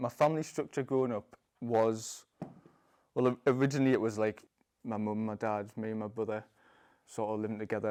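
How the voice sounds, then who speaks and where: Recorded very cleanly against a silent background, a man with a Geordie accent speaks at a medium pitch in a dark, mellow tone with monotone, flat intonation. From northern England, Newcastle upon Tyne. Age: 20s. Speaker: parkour freerunner, convert to Islam. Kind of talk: testimony. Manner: halting, many fillers and repeats.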